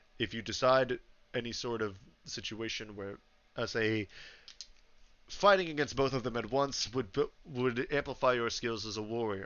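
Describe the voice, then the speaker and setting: Putting on a raspy character voice, a man speaks at a moderate pace and medium pitch with long, frequent pauses. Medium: actual play. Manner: formal, judicial.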